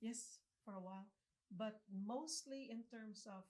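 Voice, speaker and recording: A woman with a slight Filipino accent speaks in a somewhat breathy voice. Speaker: city council member and entrepreneur. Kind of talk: interview. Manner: articulate, few filler words.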